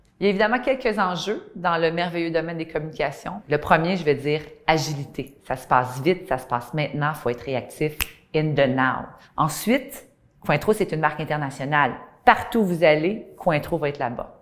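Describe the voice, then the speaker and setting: Speaking with a Quebec accent, a woman at a very deep, low pitch uses lively intonation at a moderate pace. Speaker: communications director. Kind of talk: corporate testimonial interview.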